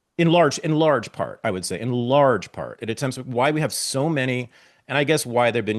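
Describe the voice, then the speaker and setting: Talking at a fairly quick pace, a man with an American accent uses an animated tone at a medium pitch, with vocal fry. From US West Coast, Berkeley, California. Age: 60s. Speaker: podcast host. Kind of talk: casual interview chat.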